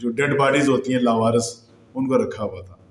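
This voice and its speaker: A man is talking. His voice carries audible room echo. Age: 50s. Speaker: YouTube news commentator. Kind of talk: news commentary monologue.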